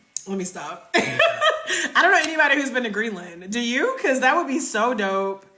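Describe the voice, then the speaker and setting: Projecting a raised voice over noticeable background noise, a woman with a slight Southern US accent and a high pitch talks at a moderate pace with very wide pitch swings and hardly any pauses. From North Carolina. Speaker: travel content creator. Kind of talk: live stream Q&A.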